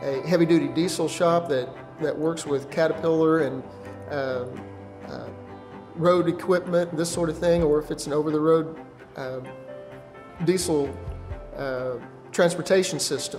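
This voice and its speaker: Over clear background music, a man speaks at a moderate pace with fairly even intonation and long, frequent pauses. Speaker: automotive technology instructor. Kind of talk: interview answer. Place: studio.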